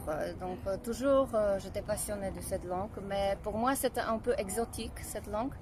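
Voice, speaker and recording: A woman speaks with a Polish accent at a medium pitch. Her pace is moderate and her pitch variation ordinary. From Poland. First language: Polish (speaking French). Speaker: singer. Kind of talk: interview. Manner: halting.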